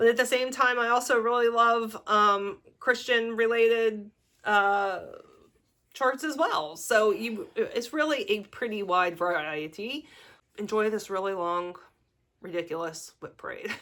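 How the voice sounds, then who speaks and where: With a Pittsburgh accent, a woman talks at a fairly slow pace in a bright, sharp tone with lively intonation, on a very clean recording against a silent background. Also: fairly high pitch for a woman. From US, Pittsburgh. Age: 40s. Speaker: crafting vlogger. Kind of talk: casual vlog talk. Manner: hesitant, many fillers.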